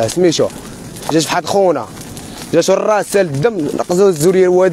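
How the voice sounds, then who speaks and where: A man speaks at a fairly quick pace in a high voice with fairly even intonation. The sound is dry with no echo, over light background noise. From Morocco. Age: young. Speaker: homeless young resident. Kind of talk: street interview testimony. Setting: outdoors, live stream. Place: open country.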